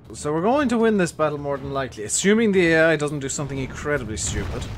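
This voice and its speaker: A man's fairly high voice at a fairly quick pace, with very wide pitch swings over noticeable background noise. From Ireland. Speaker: video game streamer. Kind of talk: live gameplay commentary. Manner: casual, conversational.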